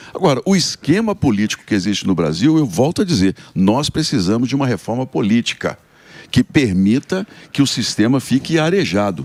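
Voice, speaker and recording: Holding a very even loudness, a man speaks at a moderate pace and a medium pitch, with vocal fry and very wide pitch swings. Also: very clean recording, silent background. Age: 60s. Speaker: senator. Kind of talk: radio interview.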